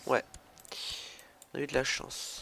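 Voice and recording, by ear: Speaking at a slow pace, a man shows vocal fry in a fairly bright tone.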